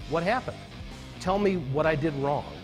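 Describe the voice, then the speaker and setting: Very fast, lively speech from a man at a fairly high pitch, with music in the background. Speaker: leadership keynote speaker. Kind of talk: keynote speech to an audience.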